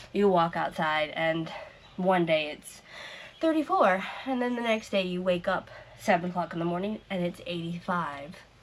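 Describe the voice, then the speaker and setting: There is noticeable background noise as a woman speaks at a moderate pace. Her pitch is fairly low and varies in an ordinary way. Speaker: crochet vlogger. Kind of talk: casual vlog chat.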